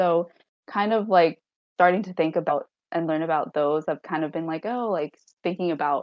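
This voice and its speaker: With an American accent, this is an ordinary speaking voice moving at a moderate pace. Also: woman. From US Northeast, Long Island, New York. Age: 20s. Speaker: graduate student, adoptee. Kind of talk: casual interview.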